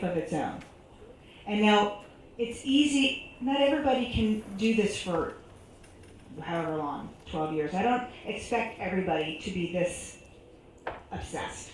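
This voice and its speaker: Lively in intonation, a woman at medium pitch talks amid audible room echo and noticeable background noise. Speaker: panelist at community forum. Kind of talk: public forum Q&A answer. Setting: stage with audience. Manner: loud; animated.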